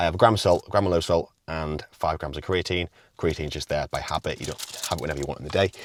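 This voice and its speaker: On a very clean recording with a silent background, a man talks with ordinary pitch variation. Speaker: fitness coach and natural bodybuilder. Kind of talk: casual vlog; voiceover narration. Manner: quiet.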